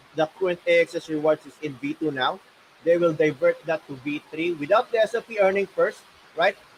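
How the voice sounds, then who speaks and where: Loud, high-pitched male voice at a fairly quick pace, dry and close with no echo. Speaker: gaming guild manager. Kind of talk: livestream Q&A.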